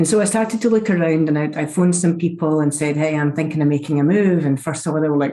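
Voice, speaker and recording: Over noticeable background noise, a woman with a Scottish accent talks at a very fast pace. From Scotland. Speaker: chief information security officer. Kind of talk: interview. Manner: animated.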